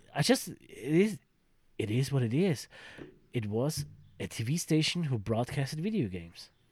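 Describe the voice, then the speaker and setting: Speaking in an animated tone with a slight German accent, a man talks at a moderate pace, somewhat breathy, with very wide pitch swings and long, frequent pauses. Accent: mild German-accented English. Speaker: podcast co-host. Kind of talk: casual chat. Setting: home attic with microphones. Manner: animated, laughs often.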